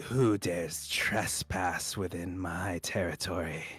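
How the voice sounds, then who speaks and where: A man puts on a raspy character voice, very deep and low in pitch. He speaks at a fairly slow pace. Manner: imperious.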